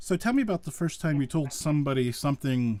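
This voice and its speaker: An unremarkable speaking voice from a man, fairly high in pitch, with lively intonation and a fairly quick pace. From western Pennsylvania. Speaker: podcast host. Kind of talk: interview conversation. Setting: live virtual show.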